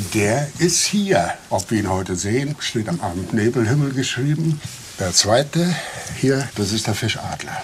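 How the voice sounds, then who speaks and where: The speaker talks fairly slowly with lively intonation and a calm tone. Noticeable noise sits in the background. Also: man, medium pitch for a man. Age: 70s. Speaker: national park ranger. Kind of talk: guided nature tour. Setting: outdoors. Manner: calm, unhurried.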